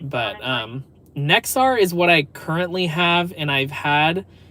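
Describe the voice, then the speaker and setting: Clear background noise sits under this male speaker. His pitch moves in a normal way. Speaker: livestreaming news stringer. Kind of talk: live stream chat. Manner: fast.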